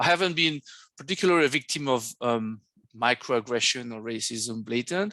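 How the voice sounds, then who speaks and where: A man with a French accent speaks at a moderate pace with lively intonation and a medium pitch. The sound is dry and close with no echo, against a quiet background. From France. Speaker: academic seminar moderator. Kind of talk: academic seminar discussion. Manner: halting, many fillers.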